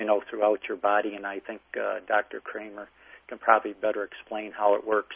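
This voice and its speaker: Fairly low, flat male speech at a fairly quick pace, with big swings in loudness. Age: 60s. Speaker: patient caller. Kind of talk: testimony. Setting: phone call. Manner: halting.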